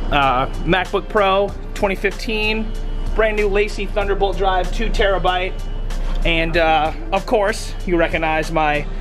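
A high-pitched man at a very slow pace, with ordinary pitch variation and very even loudness, over clear background music. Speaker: DJ vlogger. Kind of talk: casual vlog chat. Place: boat. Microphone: phone near.

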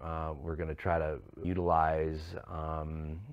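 The man's voice sits very deep and low. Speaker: interviewee. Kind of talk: interview answer. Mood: reflective, somber. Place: studio.

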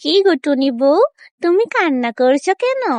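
A woman does a cartoonish character voice at an extremely high pitch with very wide pitch swings. Her pace is moderate.

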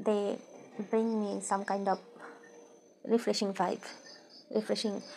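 A woman with a non-native accent speaks at a medium pitch. She takes long, frequent pauses. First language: non-native English speaker. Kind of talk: casual Q&A talk to camera.

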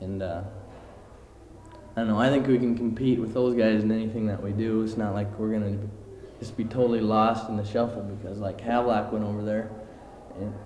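Over light background noise and audible room echo, a man speaks in a flat, monotone way. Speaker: high school student council member. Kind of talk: interview answer. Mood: relaxed, confident. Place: hall. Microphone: handheld.

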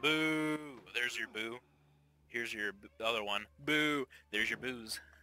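Over noticeable background noise, a man of medium pitch speaks with big swings in loudness. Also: ordinary pitch variation, fairly slow pace. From Canada. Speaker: gamer. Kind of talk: casual chat. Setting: voice chat.

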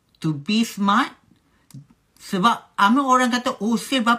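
A woman talks at a fairly slow pace with a quiet background. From Malaysia. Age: 30s. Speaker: business owner and vlogger; vlogger. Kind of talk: casual advice monologue to viewers. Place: home room. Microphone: phone near.

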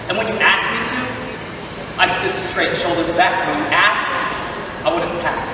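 Strong room echo and noticeable background noise surround the recording. A man speaks at a moderate pace. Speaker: spoken word artist. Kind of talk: spoken word poem. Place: stage.

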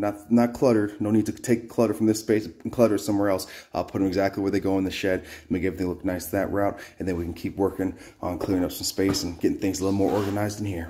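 A man talks very fast in a fairly low, dark and mellow voice. His intonation is fairly even, and background noise is noticeable. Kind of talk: casual vlog chat. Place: garage. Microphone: phone near.

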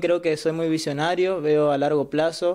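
A man with a high pitch against a quiet background. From Argentina, Misiones (Ituzaingó); Misiones, Argentina. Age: 20s. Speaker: law student. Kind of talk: interview. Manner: halting. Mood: positive, earnest. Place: home room. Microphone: webcam.

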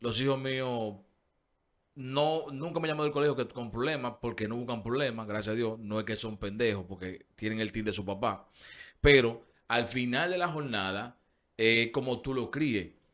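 Against a quiet background, a man talks at a moderate pace with medium pitch and ordinary pitch variation. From Dominican Republic, Herrera; Dominican Republic. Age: 40s. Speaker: radio show host. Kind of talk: casual chat. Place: studio. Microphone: studio mic.

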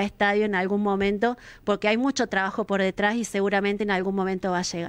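Her intonation is monotone and flat, set at a medium pitch for a woman. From Argentina, Villa Carlos Paz, Córdoba; Córdoba, Argentina. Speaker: local council president. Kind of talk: interview. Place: studio. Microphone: studio mic.

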